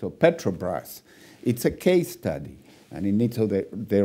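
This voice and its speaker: A dark, mellow tone moves through very wide pitch swings at a moderate pace. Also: man. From Chile. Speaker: panel moderator, governance expert. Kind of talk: panel discussion.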